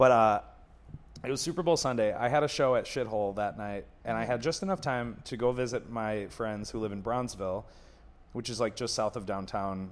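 A man with an American accent speaks in an ordinary speaking voice at a medium pitch, with ordinary pitch variation, on a very clean recording with a silent background. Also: fairly quick pace. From Buffalo, New York. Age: 30s. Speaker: comedian. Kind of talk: casual chat.

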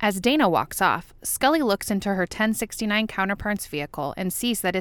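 Someone reads a text aloud. The delivery is plain reading.

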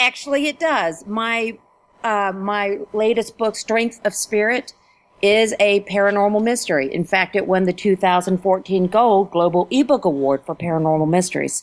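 With an American accent and a normal speaking voice, a woman speaks at a moderate pace and a medium pitch with lively intonation. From Ohio, Dayton. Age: 50s. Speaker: writer and teacher. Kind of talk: interview.

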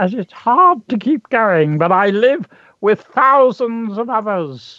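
Against a quiet background, a female-sounding put-on character voice, strained and fairly high-pitched, moves at a fairly slow pace. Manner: weary, sorrowful.

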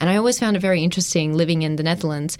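This woman speaks very fast in an Australian accent. Her pitch is fairly low, with ordinary variation. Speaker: PhD student researcher. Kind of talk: interview.

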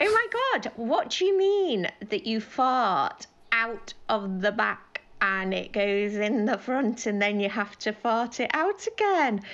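Over noticeable background noise, a woman speaks very slowly at a fairly high pitch, with very wide pitch swings. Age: 50s. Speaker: caller, nurse. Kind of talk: voicemail call-in. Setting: phone message.

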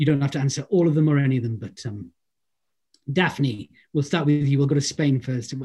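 A man with a Welsh accent, fairly high in pitch, with a dark, mellow tone, somewhat breathy, with ordinary pitch variation, a fairly quick pace and long, frequent pauses. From Wales. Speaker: actor and event host. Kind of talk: interview panel. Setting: video call.

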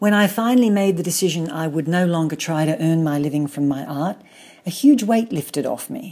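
In a very clean recording with a silent background, a woman talks with an Australian accent at a moderate pace. Her fairly low voice has a dark, mellow tone and lively intonation. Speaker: artist and author. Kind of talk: personal account.

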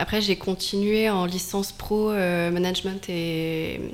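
Her intonation fairly even and her pitch medium, a woman talks against noticeable background noise. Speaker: author's friend and event organizer. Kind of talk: radio interview.

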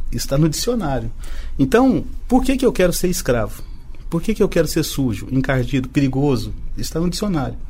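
A man talks at a fairly quick pace in a fairly high pitch, his voice making very wide pitch swings amid audible room echo. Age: 50s. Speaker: business association president. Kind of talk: radio podcast interview.

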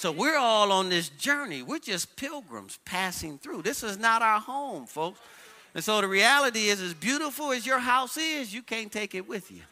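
Projecting his raised voice, a man with a high pitch and a bright, sharp tone speaks with lively intonation and big swings in loudness. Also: moderate pace. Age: 50s. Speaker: pastor. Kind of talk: Sunday sermon to a live congregation, call-and-response preaching. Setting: church worship service with audience. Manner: animated, urging the crowd with repeated 'watch this' and 'come on'; conversational, building cadence with repetitions and rhetorical questions.

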